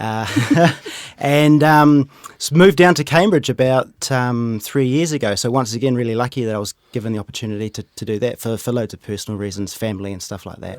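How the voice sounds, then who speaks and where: On a very clean recording with a silent background, a man with a New Zealand accent and medium pitch talks at a fairly quick pace with big swings in loudness. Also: ordinary pitch variation. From New Zealand, Rotorua. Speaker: wealth manager. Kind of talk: casual chat. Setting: studio.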